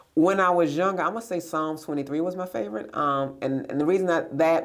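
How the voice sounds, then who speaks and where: A woman talks at a very fast pace with a very deep, low pitch. Her pitch varies in an ordinary way, and there is noticeable background noise. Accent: American. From New York, then raised by grandparents. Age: 50s. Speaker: business owner and director. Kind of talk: interview conversation. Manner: hesitant, many fillers.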